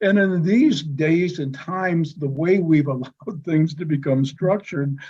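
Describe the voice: A man speaks at a slow pace, at a fairly high pitch, with ordinary pitch variation. His tone is dark and mellow with a slightly husky edge.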